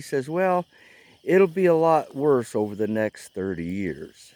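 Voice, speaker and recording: With an American accent, a man speaks in a dark, mellow tone with very wide pitch swings, in a dry, close sound with no echo on a very clean recording with a silent background. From US Midwest, Missouri. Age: 60s. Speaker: vlogger. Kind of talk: casual monologue. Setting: outdoors at a campfire. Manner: halting.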